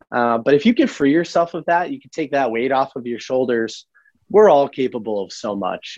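In a plain, everyday voice, the speaker talks at a moderate pace with lively intonation, the sound dry and close with no echo. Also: man. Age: 20s. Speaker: entrepreneur and book podcaster. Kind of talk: casual interview.

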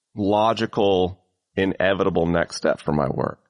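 The sound is dry and close, without echo. A man's speech moves at a moderate pace. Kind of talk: casual conversational interview.

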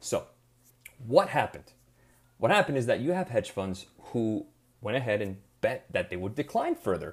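A man talks at a fairly quick pace with vocal fry. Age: 30s. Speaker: podcast host, investment firm head. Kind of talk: solo explainer podcast. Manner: casual, conversational.

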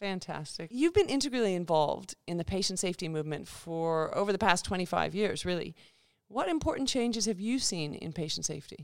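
A woman speaks with lively intonation in an Australian accent. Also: medium pitch for a woman, fairly quick pace. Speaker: podcast host. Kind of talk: interview, conversational.

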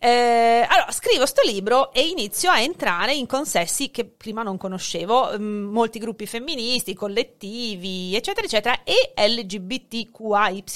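A woman with an ordinary speaking voice talks at a fairly slow pace with hardly any pauses, her fairly high pitch rising and falling in lively intonation on a very clean recording with a silent background. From born in Hungary, dual nationality, lives in Italy. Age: 40s. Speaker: sociolinguist and teacher. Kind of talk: casual chat.

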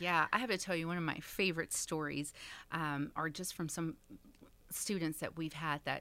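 A woman speaks in a very deep, low pitch with an American accent, at a moderate pace and with fairly even intonation. The recording is very clean, with a silent background. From Texas, Dallas. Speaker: nonprofit director. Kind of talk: interview.

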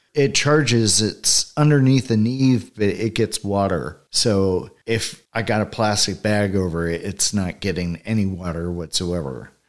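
A man with a plain, everyday voice and an American accent, fairly low in pitch, at a fairly slow pace with hardly any pauses and lively intonation, on a very clean recording with a silent background. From Northern California. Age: 50s. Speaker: e-bike rider and shop customer. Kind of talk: casual interview chat.

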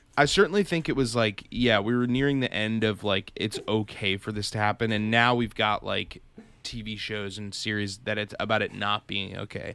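A man's fairly low voice with a bright, sharp tone and an American accent, on a very clean recording with a silent background. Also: fairly even intonation, moderate pace. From Massachusetts. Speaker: web series host. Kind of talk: casual chat.

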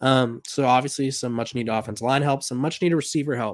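A man with a normal speaking voice talks at a medium pitch with fairly even intonation, on a very clean recording with a silent background. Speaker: sports podcast host. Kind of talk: solo podcast monologue about college football. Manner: casual, conversational, with filler words.

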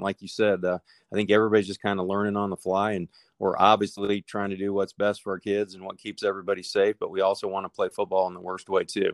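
A man with a Midwestern American accent speaks at a very fast pace in a fairly low pitch. The sound is dry and close with no echo, on a very clean recording with a silent background. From Nebraska. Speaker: high school football coach. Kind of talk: interview.

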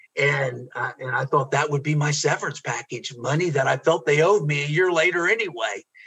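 A man with an American accent talks at a fairly quick pace with hardly any pauses. His voice is fairly high, bright and sharp, with ordinary pitch variation. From US Midwest, Ohio. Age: 60s.

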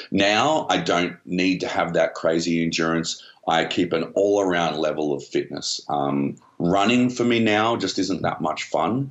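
An Australian-accented man speaks at a fairly slow pace. His pitch is very deep and low, and his loudness stays very even. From Australia (Melbourne, Canberra). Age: 40s. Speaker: shark attack survivor, former soldier, TV presenter. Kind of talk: casual interview.

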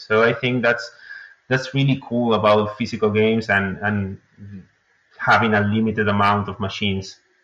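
A man with a Spanish accent speaks at a moderate pace in a fairly low pitch with fairly even intonation. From Uruguay. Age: 20s. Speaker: indie game developer. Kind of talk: interview. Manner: hesitant, many fillers.

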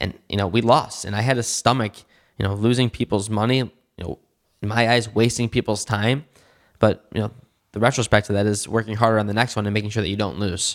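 A man with an American accent speaks very fast at a fairly low pitch, his intonation fairly even. The recording is very clean, dry and close, with a silent background and no echo. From Michigan (West Bloomfield, Detroit area). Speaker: cannabis entrepreneur. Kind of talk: interview.

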